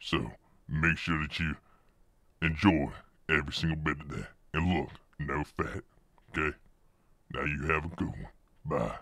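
A man's voice, very deep and low in pitch, moves along at a moderate pace. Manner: brisk, casual, no-nonsense.

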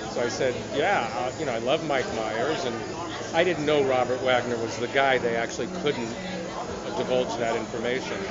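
Moderate pace and ordinary pitch variation, with loud background noise. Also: man. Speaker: actor interviewee. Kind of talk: interview answer. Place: hall.

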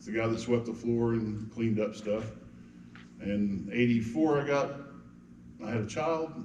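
A medium-pitched man with an American accent at a moderate pace, with ordinary pitch variation, long and frequent pauses, and audible room echo. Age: 60s. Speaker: city council candidate. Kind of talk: campaign speech at candidate forum. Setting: church hall with audience.

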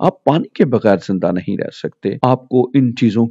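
Dry and close with no echo, the recording carries a man's dark, mellow tone. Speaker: preacher / sermon speaker. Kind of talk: sermon / Bible teaching talk.

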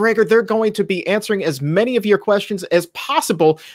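This man's intonation is lively. Behind him, the background is quiet. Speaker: show host. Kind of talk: news headline presentation. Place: home room.

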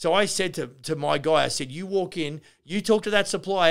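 Against a quiet background, a man with an Australian accent speaks at a fairly quick pace in an animated tone, with vocal fry and ordinary pitch variation. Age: 50s. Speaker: construction business owner and podcast host; podcast host. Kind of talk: casual Q&A answering listener questions; podcast conversation. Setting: live Q&A session with an audience, on camera. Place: office. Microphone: studio mic.

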